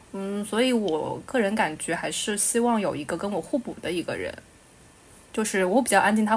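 A woman's somewhat breathy voice, medium in pitch with ordinary pitch variation, at a fairly quick pace. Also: big swings in loudness. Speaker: podcast co-host. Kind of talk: casual chat. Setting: remote recording.

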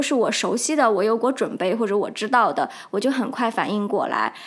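The speaker is a woman with lively intonation. She keeps a moderate pace. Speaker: solo podcast host. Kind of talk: casual monologue. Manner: many filler hesitations.

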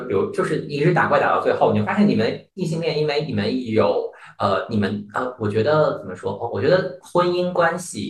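This man talks at a moderate pace and hardly pauses at all. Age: 30s. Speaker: podcast guest. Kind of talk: casual chat.

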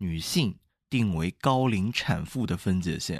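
A man's fairly low, lively voice at a fairly slow pace, an ordinary speaking voice against a quiet background. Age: young. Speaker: podcast co-host. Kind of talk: casual chat.

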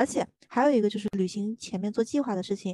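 A woman speaks very fast at a fairly high pitch, her tone dark and mellow. The background is quiet. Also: dry, close sound with no echo. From Zhejiang, China. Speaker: podcast co-host. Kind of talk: casual chat.

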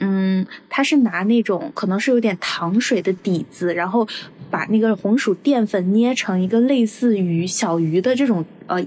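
Here is a woman with a normal speaking voice at medium pitch. She talks at a fairly slow pace with ordinary pitch variation. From Guangdong, Zhuhai. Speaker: podcast host. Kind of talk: casual chat.

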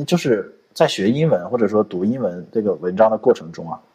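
This man talks at a fairly quick pace with a medium pitch. His tone is dark and mellow. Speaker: podcast co-host, programmer. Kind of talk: casual chat.

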